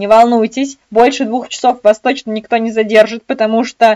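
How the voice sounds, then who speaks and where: With a quiet background, a woman speaks at a moderate pace in a high pitch and an animated tone. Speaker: exam prep tutor. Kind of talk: online lecture. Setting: live webinar. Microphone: webcam.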